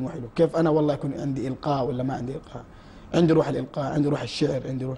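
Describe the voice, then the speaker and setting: With a Hejazi accent, a man speaks at a fairly high pitch with fairly even intonation. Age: 20s. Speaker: nasheed singer. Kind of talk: TV interview. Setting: TV studio.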